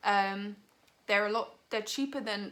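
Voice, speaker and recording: A woman talks with a British accent. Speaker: vegan lifestyle vlogger. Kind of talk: product review. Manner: casual, filler-heavy.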